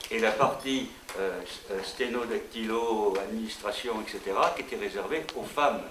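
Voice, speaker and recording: Over noticeable background noise and audible room echo, a man talks at a moderate pace with very wide pitch swings. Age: 80s+. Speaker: retired history teacher and former parliamentary aide. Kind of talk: talk to students at a school. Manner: halting, many hesitations.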